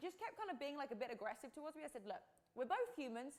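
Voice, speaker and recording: A woman with an American accent, animated in tone and lively in intonation. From England. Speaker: podcast host and fitness coach. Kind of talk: live stream talk to viewers.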